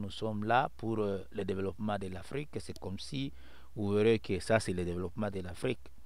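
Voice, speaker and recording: In a dry recording with no echo, a man speaks at a fairly low pitch. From DR Congo. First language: Swahili (speaking French). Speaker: writer and pastor; pastor. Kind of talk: educational monologue. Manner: hesitant with many fillers. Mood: warm, smiling, explanatory. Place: home room. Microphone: headset.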